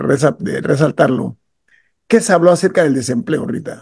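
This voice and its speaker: A man's dark, mellow voice with vocal fry, fairly high pitch and lively intonation over a quiet background. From Panama. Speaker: radio host. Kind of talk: radio talk show. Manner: emphatic. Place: home room. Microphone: video call.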